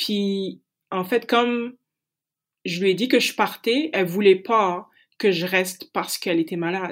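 A woman's medium-pitched voice at a fairly slow pace, with ordinary pitch variation, long, frequent pauses and a very clean recording with a silent background. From Paris suburbs, France. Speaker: francophone association director. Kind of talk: interview.

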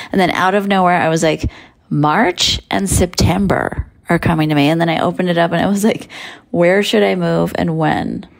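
A woman with a normal speaking voice, fairly low in pitch, at a moderate pace and very even loudness. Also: ordinary pitch variation. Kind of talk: casual chat.

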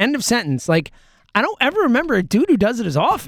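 A man talks in an animated tone with very wide pitch swings, the sound dry and close with no echo. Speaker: podcast host. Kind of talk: casual banter. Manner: animated, joking.

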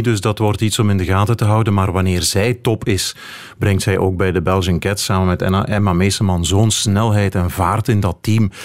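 An unremarkable speaking voice from a man, pitched fairly low, moving at a moderate pace. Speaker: cycling reporter and commentator. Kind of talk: radio panel discussion.

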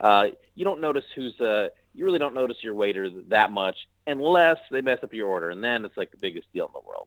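Talking at a very fast pace with big swings in loudness, a man speaks at a medium pitch with a Midwestern American accent. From US Midwest (Missouri, Nebraska). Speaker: actor and comedian. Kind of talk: casual interview chat.

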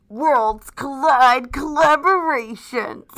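In a put-on character voice that sounds female, the speaker uses a dramatic tone, a high pitch and a very slow pace. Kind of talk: announcer-like. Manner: dramatic, overblown.

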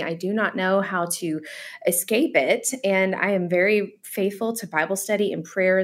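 A woman talks in a plain, everyday voice with a medium pitch. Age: 40s. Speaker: author. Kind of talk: radio interview.

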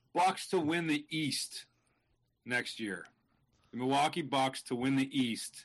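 A man speaks at a very slow pace with ordinary pitch variation. Long, frequent pauses break up his speech. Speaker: touring comedian. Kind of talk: casual chat. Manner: casual, jokey.

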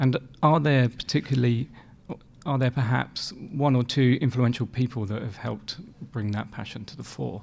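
A man's somewhat breathy voice at a medium pitch, with ordinary pitch variation and a moderate pace. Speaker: podcast host. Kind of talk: interview.

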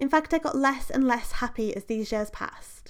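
Over a very clean recording with a silent background, a woman speaks at a moderate pace and a high pitch. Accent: British. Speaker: podcast host. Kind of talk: solo podcast monologue.

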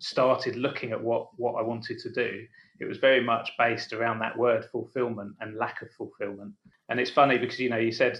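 A man speaks with an English accent. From England. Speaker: founder of a catering business and coffee academy. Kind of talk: casual podcast interview.

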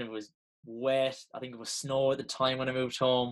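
Speaking with an Irish accent, a man keeps a medium pitch and a moderate pace. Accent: Irish (Mayo). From Ireland, County Mayo. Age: 20s. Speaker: Gaelic footballer and former pro athlete. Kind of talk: podcast interview.

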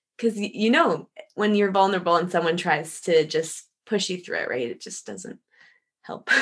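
Speaking at a moderate pace, a woman with an unremarkable speaking voice and medium pitch uses lively intonation. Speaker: pastor. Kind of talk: interview co-host, conversational. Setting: video call.

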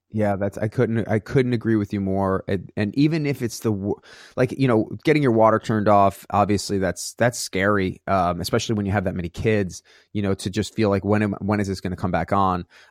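With an ordinary speaking voice, a man talks at a fairly quick pace, fairly low in pitch with ordinary pitch variation, in a very clean, dry, close recording with no echo and a silent background. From New York. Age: 40s. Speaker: fitness business owner and actor. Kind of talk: casual interview chat.

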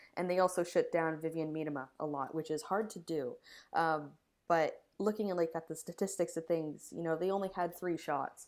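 A woman with a Canadian accent and a plain, everyday voice, fairly low in pitch, fairly quick in pace, with fairly even intonation. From Canada. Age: 20s. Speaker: women's football pundit. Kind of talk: casual chat.

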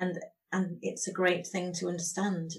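At a fairly slow pace, a woman of medium pitch speaks in a somewhat breathy voice with monotone, flat intonation. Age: 50s. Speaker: podcast host. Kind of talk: interview; scripted introduction.

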